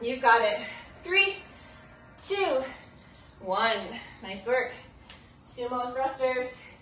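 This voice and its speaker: Over background music and audible room echo, a woman with a high pitch and lively intonation speaks at a very slow pace with big swings in loudness. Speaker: fitness instructor. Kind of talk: workout instruction, counting down. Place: home room. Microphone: camera far.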